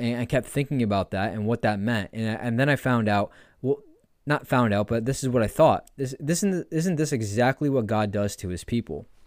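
An American man talks at a fairly quick pace with a medium pitch and ordinary variation. The recording is very clean, with a silent background and a dry, close sound with no echo. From New York State. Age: 20s. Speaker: podcast host. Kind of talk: religious teaching monologue.

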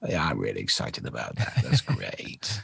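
A man puts on a croaky character voice and talks at a moderate pace. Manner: croaky ending every sentence.

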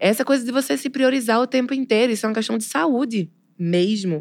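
A woman speaks in a plain, everyday voice at a fairly quick pace. Her pitch sits fairly high, and her intonation is lively. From Pernambuco, Brazil. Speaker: poet and literature teacher. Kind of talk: casual interview chat.

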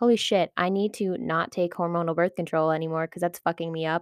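A woman's fairly low-pitched, fairly even intonation, an ordinary speaking voice, on a very clean recording with a silent background. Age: 20s. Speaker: podcast host, human design reader. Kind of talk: casual monologue.

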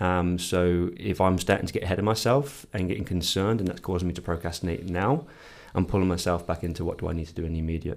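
Speaking very fast, a man uses a very deep, low pitch and fairly even intonation. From England. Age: 30s. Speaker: podcast co-host, sleep scientist. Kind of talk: casual chat.

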